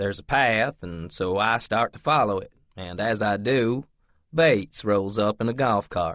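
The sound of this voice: The pitch shifts in an ordinary way as someone reads in an unforced voice.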